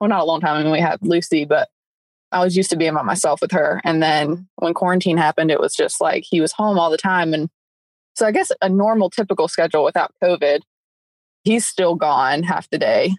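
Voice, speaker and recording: A woman with an American accent and a normal speaking voice talks at a fairly quick pace with fairly low pitch, fairly even intonation and very even loudness, in a dry, close sound with no echo. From upstate South Carolina. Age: 20s. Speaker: stay-at-home mom. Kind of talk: casual interview chat.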